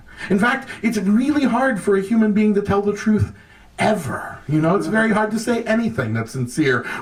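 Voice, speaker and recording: The man has a high pitch and lively intonation. His loudness stays very even over noticeable background noise. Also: moderate pace. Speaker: monologist and storyteller. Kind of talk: speech at a public event. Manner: impassioned, profane.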